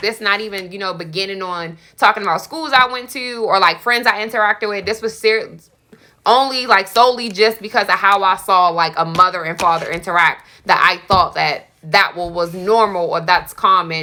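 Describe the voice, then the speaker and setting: The voice is loud, with a bright, sharp tone. It moves at a fairly quick pace with ordinary pitch variation. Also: woman. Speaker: podcast guest. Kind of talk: casual chat.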